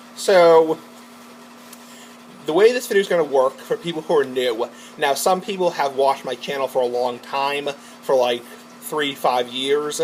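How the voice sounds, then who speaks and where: Against noticeable background noise, a man speaks with a fairly high pitch. His ordinary pitch variation is broken by long, frequent pauses. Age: 20s. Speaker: vlogger. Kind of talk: casual monologue vlog. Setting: garage with door open. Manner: rambling, fast.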